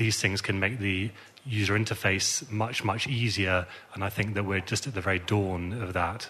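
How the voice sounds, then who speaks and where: A man's fairly low voice with a bright, sharp tone, at a moderate pace with fairly even intonation. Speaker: digital innovation analyst on panel. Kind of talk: panel discussion.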